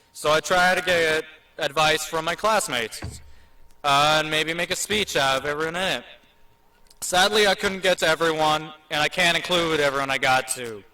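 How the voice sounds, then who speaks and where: Speaking at a moderate pace with an American accent, a man with a fairly high pitch shows ordinary pitch variation over noticeable background noise. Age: 18. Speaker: graduating student speaker. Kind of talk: commencement speech. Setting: stage with audience.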